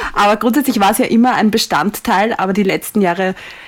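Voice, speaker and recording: Speaking with an Austrian accent, a woman talks at a fairly quick pace in a medium pitch with lively intonation. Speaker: Formula 1 podcaster. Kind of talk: casual chat. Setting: video call.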